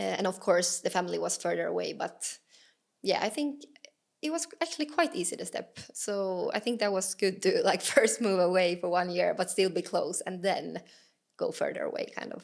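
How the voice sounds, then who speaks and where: At a moderate pace, a woman talks with a Swedish accent. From Finland, Åland Islands. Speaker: professional footballer. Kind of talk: podcast interview. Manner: hesitant, many fillers.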